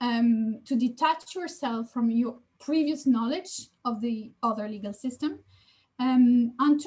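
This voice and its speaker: This woman has a high-pitched voice with a French accent. She talks at a fairly slow pace. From France. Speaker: law professor. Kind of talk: lecture.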